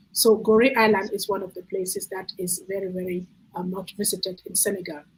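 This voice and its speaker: Amid noticeable background noise, a woman speaks quickly at a medium pitch in a monotone, flat intonation, with big swings in loudness. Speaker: children's book author presenting her book. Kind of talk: book presentation on a video call. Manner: fast; halting, stutters.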